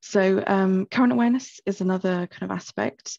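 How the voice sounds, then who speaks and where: A woman with a British accent talks at a fairly quick pace, the sound dry with no echo and the background quiet. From UK. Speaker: information officer at a law firm. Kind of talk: webinar presentation. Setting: video call.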